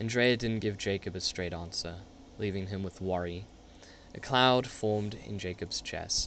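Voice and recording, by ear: Low-pitched with ordinary variation, a man speaks at a fairly slow pace in a fairly bright tone.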